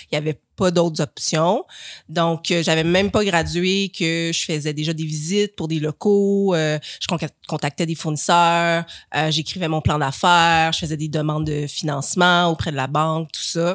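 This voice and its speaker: In a normal speaking voice, a woman with a fairly low pitch speaks at a fairly slow pace with fairly even intonation. The recording is very clean, the background silent. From Quebec. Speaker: podiatrist and author. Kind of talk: casual chat.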